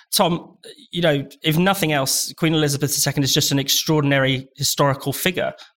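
A man talks at a fairly quick pace with a fairly high pitch. His intonation stays fairly even. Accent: British. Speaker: podcast host. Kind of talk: panel discussion. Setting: remote call.

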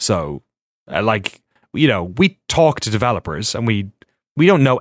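A man with an Irish accent speaks with a dry, close sound and no echo. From Ireland. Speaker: documentary filmmaker. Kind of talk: casual chat.

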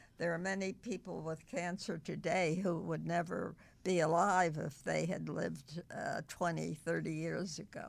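A woman with an American accent talks with vocal fry at a fairly low pitch, her intonation fairly even. She leaves hardly any pauses, and the recording is very clean with a silent background. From US Northeast. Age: 100s. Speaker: centenarian volunteer worker. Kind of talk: casual interview chat.

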